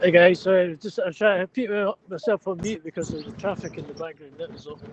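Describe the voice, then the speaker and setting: Over noticeable background noise, a man with a Scottish accent talks very fast in a high voice, his intonation fairly even and his loudness swinging widely, the sound dry and close with no echo. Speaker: livestream participant. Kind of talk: casual chat. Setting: outdoors.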